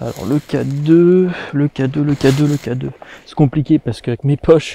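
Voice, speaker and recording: Heard dry and close with no echo, a man with a fairly high pitch and a dark, mellow tone speaks at a moderate pace with fairly even intonation and big swings in loudness. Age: 20s. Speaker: paranormal investigator youtuber. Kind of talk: solo paranormal investigation vlog.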